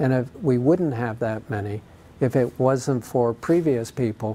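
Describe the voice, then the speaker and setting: A man with an unremarkable speaking voice talks in an American accent. His pitch is medium with ordinary variation, at a moderate pace. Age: 60s. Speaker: charity cyclist and founder. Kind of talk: interview.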